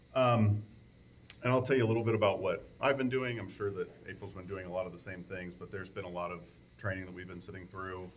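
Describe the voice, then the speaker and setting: A man's fairly even intonation carries through audible room echo. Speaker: township trustee. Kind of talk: public meeting report. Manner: loud.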